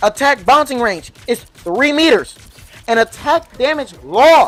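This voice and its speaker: A woman talks loudly at a high pitch, her tone animated and her intonation lively. Music plays in the background. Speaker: gaming youtuber. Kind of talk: game tutorial commentary.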